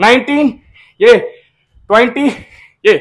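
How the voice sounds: Speaking slowly, a man uses an extremely high pitch with ordinary pitch variation.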